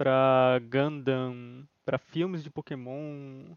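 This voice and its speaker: This man speaks in a monotone with flat intonation, his sound dry and close with no echo. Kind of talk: casual chat. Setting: live stream.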